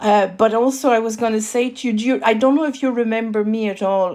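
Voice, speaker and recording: A woman speaks with a slight French accent and a fairly high pitch. Her intonation stays fairly even. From France. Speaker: podcast host. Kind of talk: interview. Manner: halting.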